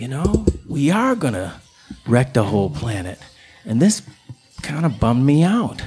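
A man with an American accent and a medium pitch speaks at a moderate pace, using very wide pitch swings and long, frequent pauses over noticeable background noise. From Chicago South Side. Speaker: musician and storyteller. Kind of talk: live storytelling. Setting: stage with audience.

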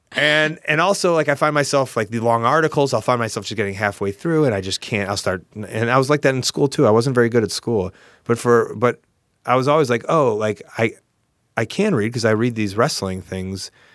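Speaking in a plain, everyday voice with an American accent, a man keeps a medium pitch and ordinary pitch variation. His pace is fairly quick, and the recording is very clean with a silent background. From US Midwest, Chicago suburbs. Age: 30s. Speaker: professional wrestler. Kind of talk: casual interview chat.

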